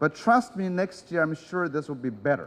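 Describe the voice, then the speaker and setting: A high-pitched man with a non-native accent, speaking at a moderate pace. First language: not English. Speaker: conference speaker. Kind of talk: conference talk. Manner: hesitant, many fillers.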